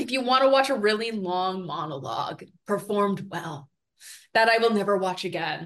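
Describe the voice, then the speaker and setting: Her speaking voice is an unremarkable speaking voice, medium in pitch, as the woman talks at a moderate pace with lively intonation. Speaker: film industry consultant. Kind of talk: casual chat.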